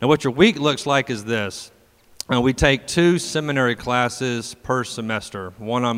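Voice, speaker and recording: A man with a plain, everyday voice, medium pitch and moderate pace. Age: 30s. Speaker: campus ministry program director. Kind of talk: interview at a campus worship gathering.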